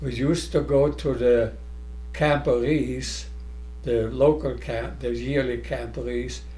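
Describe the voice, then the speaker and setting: There's audible room echo as a man talks at a fairly slow pace. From Germany. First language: German. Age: 90s. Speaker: scout leader. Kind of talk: reminiscing interview.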